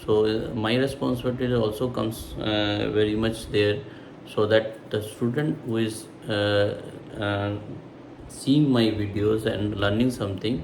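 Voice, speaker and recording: Over noticeable background noise and audible room echo, a man speaks at a fairly low pitch and a fairly slow pace with fairly even intonation. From India. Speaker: math tutor. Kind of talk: tutorial. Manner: halting, many fillers.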